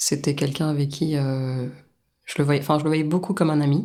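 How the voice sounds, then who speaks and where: A woman with a very deep, low pitch and fairly even intonation. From France. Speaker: guest sharing personal experience. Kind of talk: testimony interview. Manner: hesitant, many fillers.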